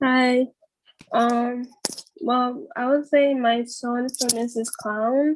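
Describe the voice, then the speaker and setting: Very slow pace with ordinary pitch variation. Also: woman. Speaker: songwriter. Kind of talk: casual chat. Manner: halting.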